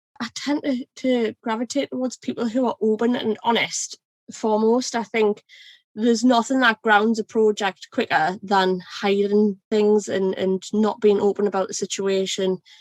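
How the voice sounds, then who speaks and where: With a Geordie accent, a woman speaks at a fairly high pitch and moderate pace, her intonation fairly even, in a dry, close sound with no echo. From North East England, Northumberland coast. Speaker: ERP consultant. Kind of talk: podcast interview.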